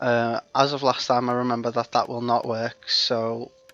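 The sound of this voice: At a fairly slow pace, a man speaks in a monotone with flat intonation and a fairly bright tone.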